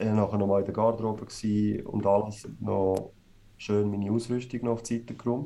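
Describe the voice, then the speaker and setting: Speaking with a Swiss accent, a man uses a fairly low pitch and a dark, mellow tone, moving at a fairly quick pace in a monotone, flat intonation. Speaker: ice hockey player. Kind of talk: podcast interview.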